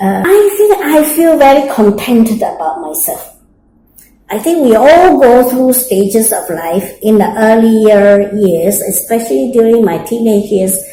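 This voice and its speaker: Very wide pitch swings mark this fairly slowly paced speech, with audible room echo around it. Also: woman, fairly high pitch for a woman. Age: 60s. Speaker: interviewee, mature student. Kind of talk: interview. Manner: hesitant with fillers.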